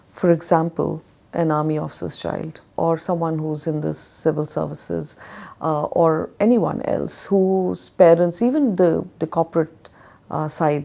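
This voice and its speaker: In an Indian accent, the speaker goes at a fairly slow pace with a dark, mellow tone and fairly even intonation. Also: woman. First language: Hindi. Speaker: education consultant. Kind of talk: interview.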